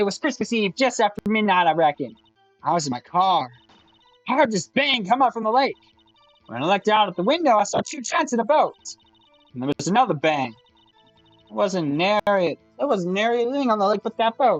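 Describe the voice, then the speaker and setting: A put-on character voice at a fairly quick pace, with faint music in the background. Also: man, high pitch for a man. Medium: fan dub. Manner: folksy.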